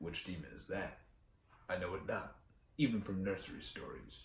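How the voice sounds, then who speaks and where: A man uses a put-on character voice, fairly low in pitch, at a moderate pace. There is audible echo, and his loudness swings a lot. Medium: read story. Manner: terse, stoic.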